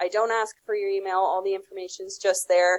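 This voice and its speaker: A woman speaks in a plain, everyday voice at a medium pitch. Her pitch variation is ordinary. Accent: Canadian. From Canada. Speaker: customer success consultant. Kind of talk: podcast interview.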